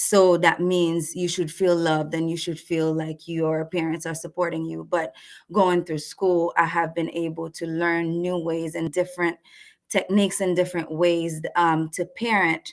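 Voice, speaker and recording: A woman speaks with a Haitian accent and a fairly low pitch. Her intonation stays monotone and flat. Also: moderate pace. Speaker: marriage and family therapist. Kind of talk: webinar presentation. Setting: live online webinar. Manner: halting.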